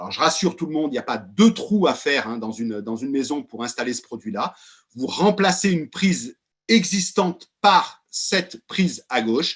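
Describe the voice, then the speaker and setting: Loud and animated, a man with a fairly high pitch speaks at a moderate pace with very wide pitch swings. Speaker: company executive presenting products. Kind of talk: webinar presentation. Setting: video call.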